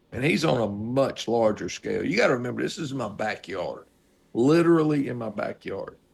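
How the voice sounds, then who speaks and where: Lively, varied intonation from a man, pitched in the middle range. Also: fairly quick pace. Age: 60s. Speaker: podcast co-host, former paramedic. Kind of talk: casual chat. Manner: animated.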